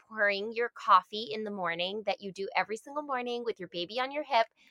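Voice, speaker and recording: With an American accent, a woman talks at a fairly quick pace in a fairly high pitch, with ordinary pitch variation, an unremarkable speaking voice and a dry, close sound with no echo. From Massachusetts. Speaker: speech-language pathologist. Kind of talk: casual interview chat.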